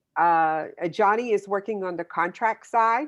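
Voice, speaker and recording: Ordinary pitch variation at a fairly slow pace. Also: woman. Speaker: publisher, author. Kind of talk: video call meeting. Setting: video call. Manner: halting.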